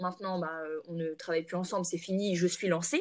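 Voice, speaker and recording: In an ordinary speaking voice, a woman talks at medium pitch and a moderate pace with fairly even intonation. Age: 20s. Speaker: entrepreneur, natural cosmetics brand founder. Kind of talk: casual interview chat.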